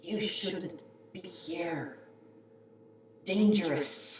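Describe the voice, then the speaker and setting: A put-on character voice, female-sounding, at a medium pitch for a woman, with a slight echo. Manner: warning.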